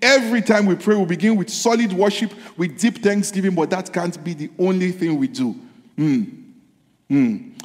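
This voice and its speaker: With lively intonation and an animated tone, the speaker keeps a moderate pace over noticeable background noise. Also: man. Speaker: pastor. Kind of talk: sermon; fervent prayer. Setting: church. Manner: animated, fervent, preaching with repeated exclamations.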